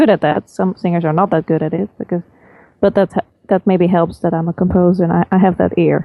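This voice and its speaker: A woman at a moderate pace with a Dutch accent. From Netherlands. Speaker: film composer and vocalist. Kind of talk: interview. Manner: halting.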